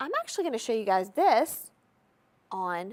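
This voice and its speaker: Animated and fairly high, the woman's voice swings very widely in pitch, with an American accent. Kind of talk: sales pitch.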